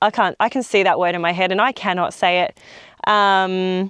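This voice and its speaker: Against a quiet background, a woman with an Australian accent speaks fairly slowly at a medium pitch. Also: dry, close sound with no echo. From South Australia. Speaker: travel vlogger. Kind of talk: vlog narration while driving. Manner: casual, chatty with fillers.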